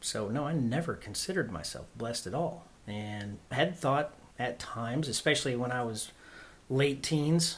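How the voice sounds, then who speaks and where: A man's fairly high, somewhat breathy voice with an American accent, ordinary pitch variation and a moderate pace. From Oklahoma. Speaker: guest sharing faith testimony. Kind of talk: testimony.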